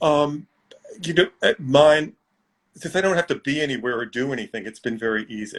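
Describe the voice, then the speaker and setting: In an American accent, a man with a normal speaking voice talks at a fairly quick pace and fairly high pitch, his intonation lively. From New York City. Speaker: magazine editor. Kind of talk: casual chat. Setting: video call.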